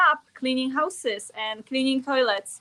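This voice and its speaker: The speaker has a strong Polish accent. The pace is moderate, with ordinary pitch variation. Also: woman. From Poland. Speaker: network marketer. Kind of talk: interview. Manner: halting.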